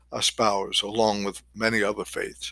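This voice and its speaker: A man with an American accent at a fairly slow pace, in a dry, close sound with no echo, on a very clean recording with a silent background. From New York, Queens. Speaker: podcast host. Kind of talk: monologue podcast.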